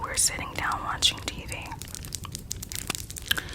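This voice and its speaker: A whispered voice sits under noticeable background noise. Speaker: ASMR storyteller. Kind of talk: ASMR personal story telling. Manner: soft-spoken.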